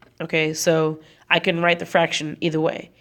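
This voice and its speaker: A moderate tempo carries the speech. The voice belongs to a woman. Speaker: chemistry teacher. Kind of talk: classroom tutorial lecture. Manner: casual, conversational.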